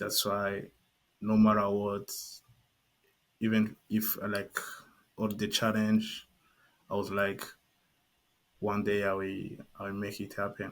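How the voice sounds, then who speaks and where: A man speaks at a fairly slow pace in a fairly low voice, leaving long, frequent pauses. His intonation is monotone and flat on a very clean recording with a silent background. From Burundi. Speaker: ecommerce entrepreneur. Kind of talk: interview testimony. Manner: halting, many fillers.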